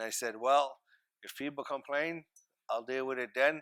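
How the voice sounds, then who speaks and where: A man with a Maritime Canadian accent has a bright, sharp tone and fairly even intonation. He keeps a moderate pace on a very clean recording with a silent background. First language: Mi'kmaq. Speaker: First Nations regional chief. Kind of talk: panel discussion. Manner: hesitant, many fillers.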